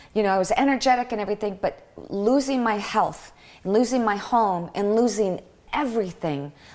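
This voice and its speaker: With an American accent, a woman speaks fairly quickly in an ordinary speaking voice, fairly high in pitch, with ordinary pitch variation. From Michigan. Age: 50s. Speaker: podcast guest, health advocate. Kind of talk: casual interview.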